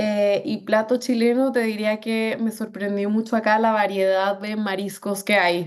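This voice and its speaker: A woman's fairly high, monotone, flat voice at a fairly slow pace, with hardly any pauses. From Colombia, Bogotá. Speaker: business executive. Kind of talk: interview. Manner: many fillers and hesitations.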